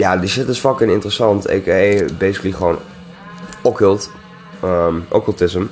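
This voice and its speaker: Over noticeable background noise, a man talks at a moderate pace with long, frequent pauses. His pitch is fairly low, with ordinary variation. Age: 20s. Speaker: podcast host. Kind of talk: solo casual monologue. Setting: home recording at night, music in background. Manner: rambling, halting with many fillers.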